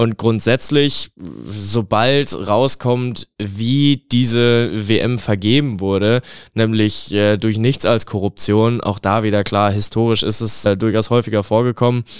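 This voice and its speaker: At a very slow pace with hardly any pauses, the speech keeps fairly even intonation and very even loudness, in a very clean, dry, close recording with no echo and a silent background. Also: man, medium pitch for a man. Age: 20s. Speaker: sports student and football fan. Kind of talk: interview.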